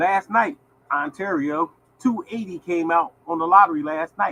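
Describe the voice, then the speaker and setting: A man speaks in a high, bright and sharp voice with an animated tone and lively intonation. The sound is dry and close, with no echo. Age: 60s. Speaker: lottery show host. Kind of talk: casual live-stream talk. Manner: animated, repetitive.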